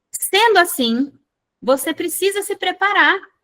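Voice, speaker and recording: A woman's raised, projected voice, bright and sharp in tone, with very wide pitch swings. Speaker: medical exam prep instructor. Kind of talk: online lecture. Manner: slow, deliberate explaining.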